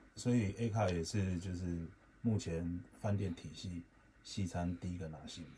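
Light background noise accompanies a man whose very deep, low voice has a dark, mellow tone, a somewhat breathy quality, fairly even intonation and a moderate pace. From Taiwan. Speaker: chef; guest. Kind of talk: radio interview. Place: studio.

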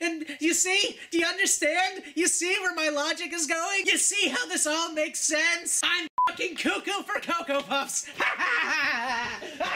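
A cartoonish character voice at an extremely high pitch, moderate pace, with clear background noise. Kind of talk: comedic sarcastic rant. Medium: puppet. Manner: mocking, escalating, excited.

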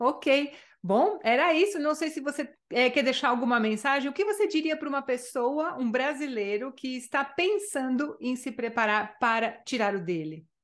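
A high-pitched woman at a moderate pace with very wide pitch swings and hardly any pauses. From Brazil. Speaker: Spanish language teacher. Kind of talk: interview. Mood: warm, friendly. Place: home room. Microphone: studio mic.

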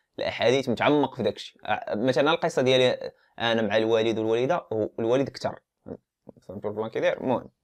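A man speaks at a fairly quick pace in an unremarkable speaking voice, his pitch medium. His pitch varies in an ordinary way over a quiet background. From Morocco, Casablanca. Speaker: YouTuber discussing religion. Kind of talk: casual monologue on religion. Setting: filming at home. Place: home room. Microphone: lapel.

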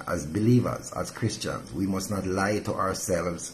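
At a fairly slow pace, a man speaks in a fairly low pitch with ordinary pitch variation over light background noise. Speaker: pastor. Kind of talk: devotional sermon. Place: home room. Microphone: phone near.

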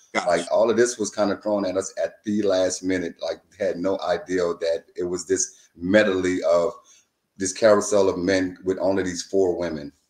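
At a moderate pace, a man talks in a room with audible echo. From Louisiana. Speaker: reality TV contestant. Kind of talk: casual interview. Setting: video call. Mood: relaxed, reflective. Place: home room. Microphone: video call.

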